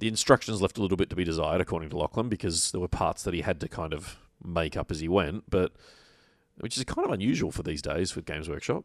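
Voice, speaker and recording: A man with an Australian accent speaks with lively intonation. The sound is dry and close with no echo, in a very clean recording with a silent background. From Victoria, Australia. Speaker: podcast host. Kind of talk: casual chat.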